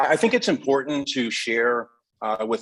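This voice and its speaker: An unremarkable speaking voice from a man. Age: 50s. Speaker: educator, candidate interviewed by school board. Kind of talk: interview answer at public board meeting. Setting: school board meeting.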